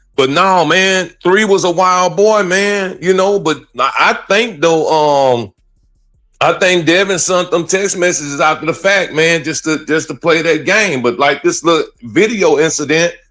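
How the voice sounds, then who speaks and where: Music in the background behind a man's high-pitched voice, fairly slow pace, ordinary pitch variation and very even loudness. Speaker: trial commentary co-host. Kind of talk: casual chat. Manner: animated.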